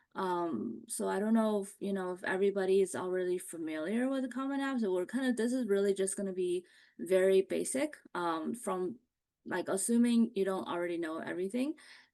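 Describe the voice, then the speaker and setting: Against a quiet background, a woman talks at a fairly quick pace with lively intonation and a dark, mellow tone. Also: medium pitch for a woman. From US Midwest, Ohio (moved to US at nine). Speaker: college admissions consultant. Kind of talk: online seminar presentation. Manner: conversational, many fillers.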